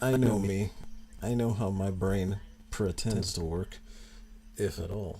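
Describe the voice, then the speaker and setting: A man speaks at a fairly slow pace with long, frequent pauses. His voice is fairly low, somewhat breathy, and dark and mellow in tone. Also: fairly even intonation. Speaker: artist streamer. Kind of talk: casual livestream chat while drawing. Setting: livestream. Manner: slurs a little.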